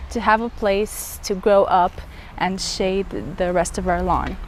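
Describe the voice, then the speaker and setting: A woman talks fairly slowly while noticeable background noise plays behind her. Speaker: gardening vlogger. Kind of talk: garden tour walkthrough. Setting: outdoors in garden. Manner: casual, chatty.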